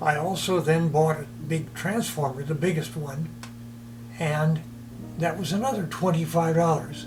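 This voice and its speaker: Amid audible room echo and music in the background, a man speaks at a moderate pace with ordinary pitch variation and long, frequent pauses. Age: 80s+. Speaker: retired teacher, model train hobbyist. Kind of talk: documentary interview, personal storytelling.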